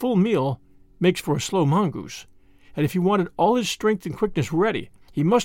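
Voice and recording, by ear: Natural-voiced reading aloud, its intonation lively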